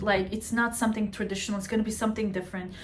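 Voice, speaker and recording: This woman has a fairly high pitch and sounds somewhat breathy. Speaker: astrologer. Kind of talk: casual astrology talk to camera. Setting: at home. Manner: animated.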